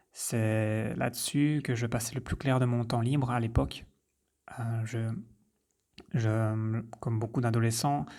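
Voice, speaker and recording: Very slowly and with long, frequent pauses, a man speaks in a dark, mellow tone at a medium pitch with ordinary pitch variation, in a very clean recording with a silent background. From French-speaking rural village. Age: 30s. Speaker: podcaster, health coach. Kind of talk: personal introduction monologue. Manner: hesitant, with fillers.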